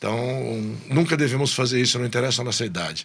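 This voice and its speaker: A man's medium-pitched voice with vocal fry, delivered at a fairly quick pace. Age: 60s. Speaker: business executive. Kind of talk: podcast interview.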